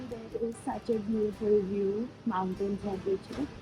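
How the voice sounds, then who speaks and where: A woman's medium-pitched voice at a fairly slow pace with ordinary pitch variation, music in the background. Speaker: travel vlogger. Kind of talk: travel vlog. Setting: outdoors at a hilltop temple. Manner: speaking quietly.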